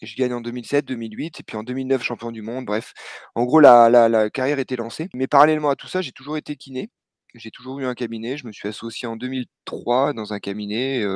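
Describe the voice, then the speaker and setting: An unremarkable speaking voice moves at a fairly quick pace with fairly even intonation and big swings in loudness, in a dry, close sound with no echo against a quiet background. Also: man, medium pitch for a man. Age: 40s. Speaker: retired trail runner and physiotherapist. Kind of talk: interview.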